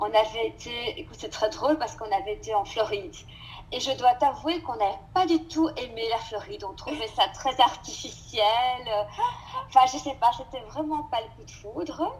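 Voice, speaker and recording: A woman speaks in a high voice with big swings in loudness while music plays in the background. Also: lively intonation, moderate pace. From Belgium, Brussels. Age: 50s. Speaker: French teacher. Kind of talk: interview.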